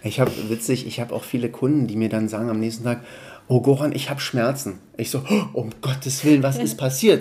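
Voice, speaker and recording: At a fairly quick pace, this man uses a normal speaking voice, his medium pitch varying in an ordinary way. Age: 40s. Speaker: personal trainer. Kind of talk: interview.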